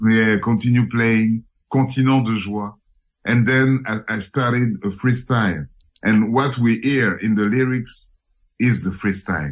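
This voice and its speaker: A man's medium-pitched voice with a French accent, at a fairly slow pace with ordinary pitch variation. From Paris, France. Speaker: musician. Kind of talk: casual radio interview. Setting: radio interview, remote call from Paris. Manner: halting, repeats words.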